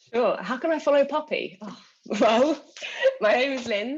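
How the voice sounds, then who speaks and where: A woman with a British accent at a moderate pace. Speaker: customer success manager. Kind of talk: panel webinar discussion.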